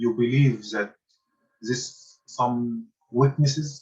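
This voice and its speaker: A man speaks with an Arabic accent at a medium pitch. His voice is somewhat breathy and his intonation fairly even. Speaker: university lecturer. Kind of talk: lecture. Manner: halting.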